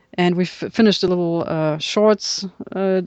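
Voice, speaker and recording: Spoken at a moderate pace with a German accent, the voice sounds dry and close with no echo. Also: woman. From northern Germany, Kiel. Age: 30s. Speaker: subtitle editor and film historian. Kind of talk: casual chat.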